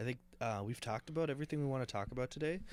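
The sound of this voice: The pace is fast. Pitch varies in an ordinary way. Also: man.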